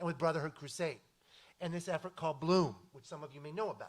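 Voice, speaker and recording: In an animated tone, a man speaks at a high pitch. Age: 50s. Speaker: community foundation leader. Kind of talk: panel discussion.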